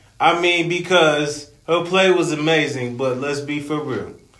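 A man with an American accent speaks at a fairly slow pace, his intonation fairly even. Audible room echo surrounds his voice. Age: 30s. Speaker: podcast co-host, recreational basketball player. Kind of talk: casual chat.

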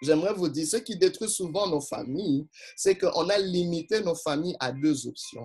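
Speaking in an animated tone, a man uses a high pitch with ordinary pitch variation. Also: moderate pace. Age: 40s. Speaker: pastor. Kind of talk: sermon.

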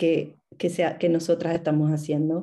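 The woman's voice has a dark, mellow tone. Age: 30s. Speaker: dieting support group member, mother. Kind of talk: group conversation.

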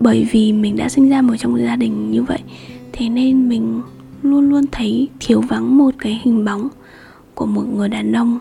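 Over music in the background, a woman speaks in a soothing, calm tone at a fairly slow pace. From Hanoi, northern Vietnam. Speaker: podcast host. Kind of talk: solo podcast monologue. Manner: hesitant, many fillers.

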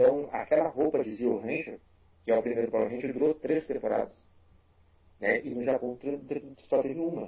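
A man with a fairly high pitch talks at a moderate pace with ordinary pitch variation. He leaves long, frequent pauses. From Rio Grande do Sul, Brazil (Porto Alegre). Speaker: tokusatsu YouTuber. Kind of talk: casual chat.

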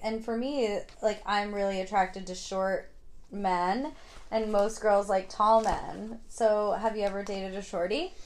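The speaker has a plain, everyday voice with an American accent and talks at a fairly slow pace. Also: woman. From New York, Hudson Valley. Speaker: podcast host. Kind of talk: casual chat.

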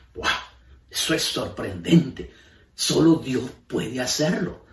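Audible room echo surrounds a man speaking at a very slow pace, his fairly high pitch edged with vocal fry. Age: 70s. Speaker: pastor. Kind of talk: sermon.

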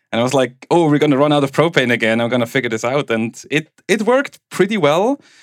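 With a Swiss German accent, a man speaks at a very fast pace with hardly any pauses, his fairly high voice full of lively intonation and the sound dry and close with no echo. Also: very clean recording, silent background. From Switzerland (German-speaking). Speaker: tech executive and home bitcoin miner. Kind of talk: casual interview chat. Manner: laughs often.

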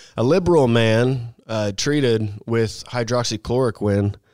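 In a very clean recording with a silent background, a man with an unremarkable speaking voice talks at medium pitch and a moderate pace. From Missouri, US Midwest. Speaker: political podcast panelist. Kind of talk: casual panel chat.

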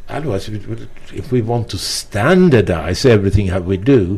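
A man with a non-native accent, fairly low-pitched, with a slightly mellow tone, lively intonation and a moderate pace

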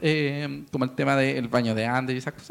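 Very fast and animated, a man speaks with a Chilean accent. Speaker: football podcast host. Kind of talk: casual chat. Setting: studio.

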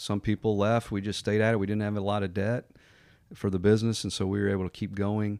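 In a very clean recording with a silent background, a man with an American accent speaks at a fairly low pitch. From US Northeast, Connecticut. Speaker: mortgage lender and business owner. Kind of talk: podcast interview.

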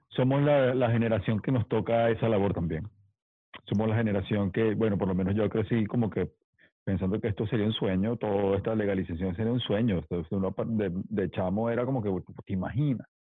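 At a fairly quick pace, a normal speaking voice talks with fairly even intonation. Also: man. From Mérida, Venezuela. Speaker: DJ and podcast co-host. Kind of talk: casual chat.

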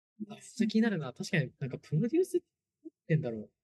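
In a dry, close recording with no echo, a man with a dark, mellow, somewhat breathy tone speaks at a very fast pace. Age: 20s. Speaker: startup founder. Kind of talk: casual chat.

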